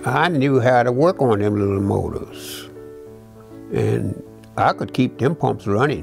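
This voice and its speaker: A man's voice swings very widely in pitch. Music is clearly audible in the background. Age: 80s+. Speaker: retired water utility worker; war veteran. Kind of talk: interview answer. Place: home room. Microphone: lapel.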